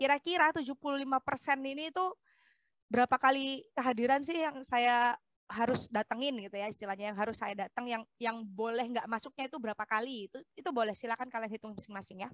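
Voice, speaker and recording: A woman with a high pitch at a very fast pace, ordinary pitch variation, dry, close sound with no echo and a quiet background. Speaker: architecture lecturer. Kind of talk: lecture.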